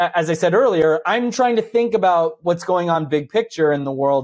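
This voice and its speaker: This man has a plain, everyday voice, fairly high in pitch, with lively intonation and a fairly quick pace. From New Jersey. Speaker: economist. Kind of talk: interview.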